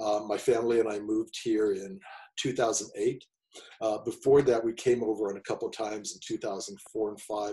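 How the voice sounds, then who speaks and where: With an American accent, a man talks at a fairly quick pace at medium pitch, in a monotone, flat intonation with a dark, mellow tone and somewhat breathy delivery. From United States. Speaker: sports psychologist. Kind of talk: webinar presentation.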